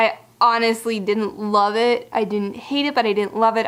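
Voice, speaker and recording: A woman speaks with a fairly high pitch. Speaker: book vlogger. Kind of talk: casual book review monologue. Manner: fast; halting.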